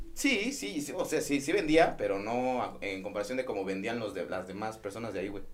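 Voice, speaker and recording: Over noticeable background noise, a man with a medium pitch talks at a fairly quick pace with hardly any pauses. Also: lively intonation. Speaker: podcast host. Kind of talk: casual chat.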